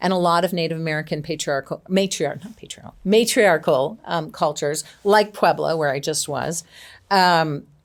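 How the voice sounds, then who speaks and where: Recorded very cleanly against a silent background, a woman speaks at a moderate pace with a fairly low pitch, ordinary pitch variation and big swings in loudness. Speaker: executive coach. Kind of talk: interview.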